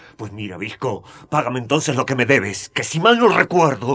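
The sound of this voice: Using a put-on character voice, a man speaks at a moderate pace and medium pitch, with big pitch swings, a fairly bright tone and a slightly husky edge.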